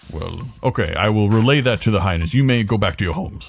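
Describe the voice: A man puts on a gruff character voice, pitched fairly low. He talks at a very fast pace over clear background noise.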